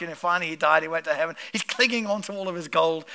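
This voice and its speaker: A man's raised, projected voice, animated in tone, over noticeable background noise. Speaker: pastor. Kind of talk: sermon. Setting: church.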